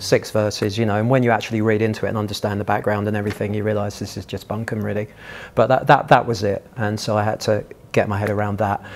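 A man speaks at a very fast pace and a fairly low pitch. His intonation stays monotone and flat. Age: 60s. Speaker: churchgoer sharing faith story; guest. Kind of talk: testimony. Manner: halting. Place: hall.

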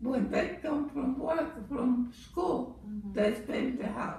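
A woman speaks at a very slow pace with a high pitch and ordinary pitch variation. There is light background noise and audible room echo. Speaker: mother. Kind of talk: interview answer. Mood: calm, reminiscing about raising children. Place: home room. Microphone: camera far.

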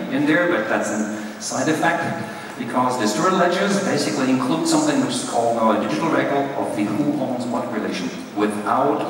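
A man talking at a fairly quick pace amid strong room echo and light background noise. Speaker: professor giving a conference talk. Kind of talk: lecture. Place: hall.

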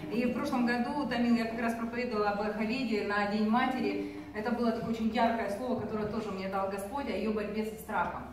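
Very fast woman's voice with fairly even intonation, audible room echo, and light background noise. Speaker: conference speaker. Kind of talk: sermon. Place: hall. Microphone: camera far.

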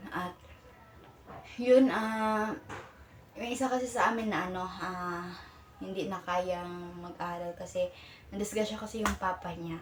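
With audible room echo and noticeable background noise, a woman speaks at a fairly slow pace with ordinary pitch variation and long, frequent pauses. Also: medium pitch for a woman. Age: young. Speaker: vlogger and college student. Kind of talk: casual vlog. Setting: boarding house room. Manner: halting.

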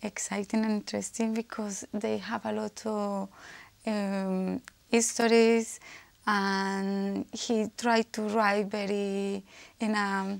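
In a strong Spanish accent, a woman speaks at a very slow pace. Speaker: IELTS candidate. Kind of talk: exam speaking answer. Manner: hesitant, frequent self-corrections and false starts. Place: office. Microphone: lapel.

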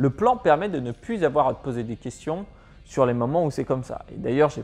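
A man speaks at a moderate pace with lively intonation and big swings in loudness. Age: 20s. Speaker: personal finance youtuber. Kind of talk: tutorial. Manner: casual, addresses viewer as tu. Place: home room.

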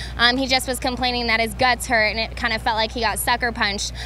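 At a very fast pace, a woman speaks high in pitch with an upbeat, energetic tone, in a dry sound with no echo and music in the background. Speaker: sideline reporter. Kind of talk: sideline interview. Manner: upbeat, energetic interviewer. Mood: concerned, sympathetic. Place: stadium. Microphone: handheld.

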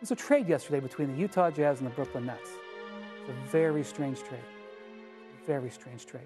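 A man at medium pitch, fairly quick yet with long, frequent pauses, big swings in loudness and lively intonation, over clear music in the background. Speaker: sports journalist. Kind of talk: TV sports debate monologue. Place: studio.

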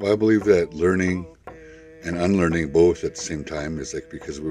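With clear music in the background, a man's voice comes through dry with no echo. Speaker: tour guide and cultural educator. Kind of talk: guided tour talk. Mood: calm, reflective. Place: forest.

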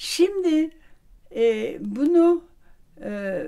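A woman's voice has a dark, mellow tone and very wide pitch swings. The background is quiet. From Vienna. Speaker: social scientist and professor. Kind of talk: interview answer. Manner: hesitant, many fillers. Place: home room.

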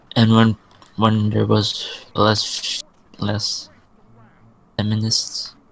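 A man talks at a very slow pace and a fairly low pitch, monotone and flat, with long, frequent pauses. There is noticeable background noise. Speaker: gamer in stream voice chat. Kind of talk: casual chat.

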